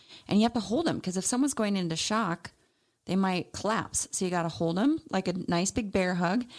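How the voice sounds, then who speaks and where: A woman's ordinary speaking voice, medium-pitched with ordinary pitch variation and very even loudness, at a fairly quick pace on a very clean recording with a silent background. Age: 40s. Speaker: naturopathic doctor and podcast co-host. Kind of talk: casual chat.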